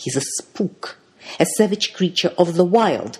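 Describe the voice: In a put-on character voice, a woman talks fairly slowly with a husky, rough edge, a fairly low pitch and lively intonation.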